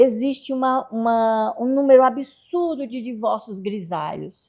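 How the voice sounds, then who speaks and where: On a very clean recording with a silent background, a woman with a high pitch and a dark, mellow tone speaks at a fairly slow pace with lively intonation. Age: 60s. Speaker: family therapist and psychologist. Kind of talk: casual interview.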